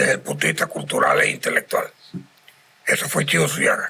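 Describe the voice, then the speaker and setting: There is noticeable background noise while a man talks. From Venezuela, Carora (Lara). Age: 70s. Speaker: cultural center president. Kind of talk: podcast interview. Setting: inn lounge.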